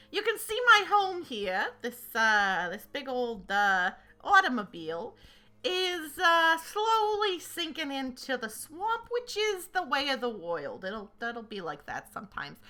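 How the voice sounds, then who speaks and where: A woman puts on a high-pitched character voice. It moves at a fairly slow pace with very wide pitch swings. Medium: actual play. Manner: casual, drawling, hesitant with many fillers.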